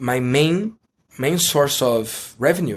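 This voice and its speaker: This speaker is a man. He has a Brazilian Portuguese accent. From Brazil, Rio de Janeiro. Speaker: online course entrepreneur and mentor. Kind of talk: interview. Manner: halting.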